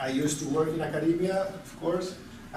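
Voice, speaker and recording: A man's fairly high voice with a Spanish accent, very fast and fairly even in intonation, with audible room echo and noticeable background noise. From Spain. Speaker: lecturer. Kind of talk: lecture. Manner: halting, repeats words.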